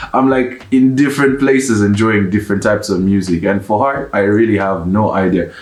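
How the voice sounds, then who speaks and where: A man at medium pitch and moderate pace, ordinary pitch variation, audible room echo and noticeable background noise. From Uganda. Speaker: YouTuber, one half of couple. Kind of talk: casual Q&A chat.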